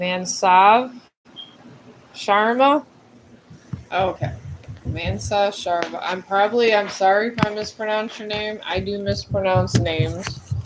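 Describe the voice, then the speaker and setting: Amid noticeable background noise, a woman at medium pitch talks at a fairly slow pace with long, frequent pauses. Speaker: tarot reader and livestreamer. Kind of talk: live tarot reading. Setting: livestream. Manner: halting.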